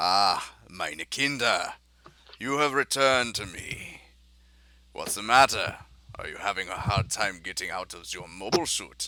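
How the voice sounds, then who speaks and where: Using a put-on character voice at a medium pitch, a man speaks at a moderate pace with long, frequent pauses. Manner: gently taunting.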